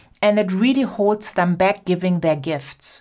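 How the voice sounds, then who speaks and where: In a German accent, a woman at medium pitch sounds animated and enthusiastic, with ordinary pitch variation on a very clean recording with a silent background. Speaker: podcast host, business coach. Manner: animated, enthusiastic.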